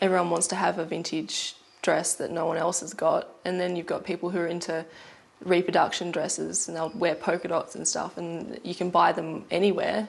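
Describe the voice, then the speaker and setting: A woman with an Australian accent speaks at a moderate pace and a fairly low pitch. Her intonation is monotone and flat, with vocal fry. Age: 20s. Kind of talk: TV documentary interview answer.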